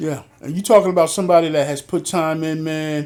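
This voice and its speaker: With an American accent and a normal speaking voice, a man talks at a moderate pace with fairly high pitch and fairly even intonation on a very clean recording with a silent background. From Philadelphia, US Northeast. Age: 60s. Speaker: podcast host, retired police officer. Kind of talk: interview conversation.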